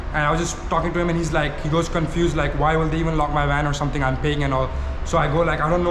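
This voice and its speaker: A man speaks very fast at a fairly high pitch. Audible room echo and noticeable background noise are present. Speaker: vlogger / prank YouTuber. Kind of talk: casual vlog chat. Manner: animated.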